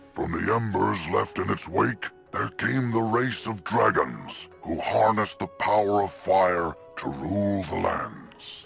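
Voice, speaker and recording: A man speaks at a fairly slow pace in a fairly low voice, with clear music playing in the background. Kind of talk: epic lore narration. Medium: solo performance. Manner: measured, solemn.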